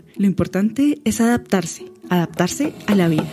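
Music plays in the background as the voice moves at a moderate pace with lively intonation. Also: woman. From Bogotá, Colombia. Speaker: podcast host. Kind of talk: scripted narration.

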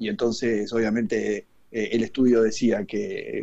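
A man speaks at medium pitch in a flat monotone. His tone is dark and mellow. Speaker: cooking columnist. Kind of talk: casual chat. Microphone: connection dropping.

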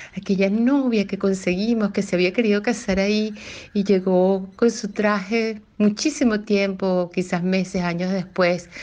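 Against a quiet background, a woman speaks at a fairly slow pace with a medium pitch and a dark, mellow tone. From Venezuela, Río Caribe (Sucre). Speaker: cook. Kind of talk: recorded personal testimony. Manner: reflective, slightly hesitant.

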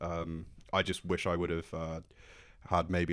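In a British accent, a man with a very deep, low voice talks at a moderate pace in a flat monotone, recorded very cleanly against a silent background. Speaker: podcast co-host. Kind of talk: casual chat.

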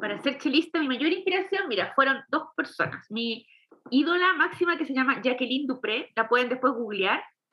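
A woman's high voice carries lively intonation as she talks at a medium speed. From Chile. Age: 40s. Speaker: film composer and musician. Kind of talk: interview.

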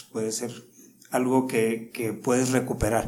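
Room echo is clearly audible here. The man speaks fairly quickly. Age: 50s. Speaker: martial arts instructor. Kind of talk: interview.

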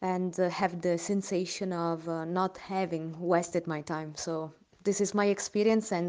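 Speaking at a moderate pace against a quiet background, a woman with an Italian accent has a medium pitch, a dark, mellow tone, and monotone, flat intonation. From Italy, Milan. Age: 30s. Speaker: aid volunteer. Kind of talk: personal testimony. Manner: halting.

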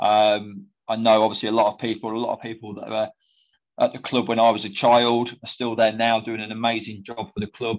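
Against a quiet background, a man talks fairly quickly at a medium pitch. His intonation is monotone and flat, while his loudness swings widely. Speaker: former football player and manager. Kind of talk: casual interview. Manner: halting, many fillers and repetitions.

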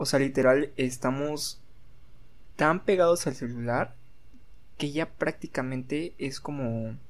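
A man with a Mexican accent speaks at a very slow pace in a fairly high pitch, his intonation fairly even and broken by long, frequent pauses. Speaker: podcast co-host. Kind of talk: casual chat.

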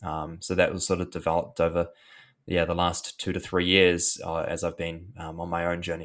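With a New Zealand accent, a man speaks in a very deep, low pitch at a fairly quick pace. His intonation is monotone and flat, and the recording is very clean with a silent background. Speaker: anxiety and mental health coach. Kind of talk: interview, guest explaining mental health and meditation. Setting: podcast interview. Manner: casual, with many fillers and hesitations.

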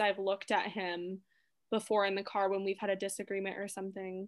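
Her voice bright and sharp in tone, a woman speaks at a medium pitch and a moderate pace. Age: 20s. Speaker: stepmother sharing her experience. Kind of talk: casual chat. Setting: remote call.

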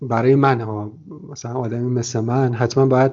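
A normal speaking voice from a man, medium pitch, moderate pace. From Iran. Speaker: travel podcast host. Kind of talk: interview conversation. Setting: Skype call.

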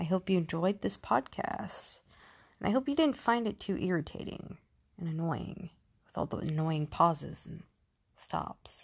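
With lively intonation and a somewhat breathy sound, a woman talks at a moderate pace in a fairly low pitch. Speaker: podcast host. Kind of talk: podcast monologue. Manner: halting, with long pauses; stuttering.

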